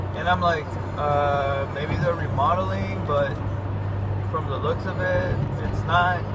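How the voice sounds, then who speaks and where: A man's moderate pace carries over music in the background. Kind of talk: casual vlog chat. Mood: nostalgic, relaxed. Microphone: phone near.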